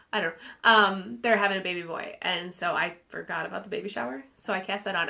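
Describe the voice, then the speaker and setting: Her pitch is medium for a woman. She speaks at a very fast pace. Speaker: knitting podcaster. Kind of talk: casual chat.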